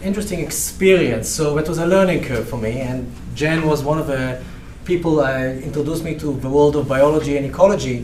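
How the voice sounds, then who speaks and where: A speaker with a slight Israeli accent is heard over noticeable background noise, with audible room echo. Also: man. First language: Hebrew. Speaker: research professor. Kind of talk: lecture. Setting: seminar room, also broadcast online. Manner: halting.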